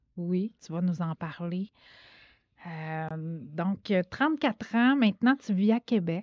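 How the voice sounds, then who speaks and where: Her pace is very slow. The woman's intonation is lively. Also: medium pitch for a woman. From Quebec, Saguenay (Chicoutimi). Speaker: podcast host. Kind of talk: casual interview. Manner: hesitant, many fillers.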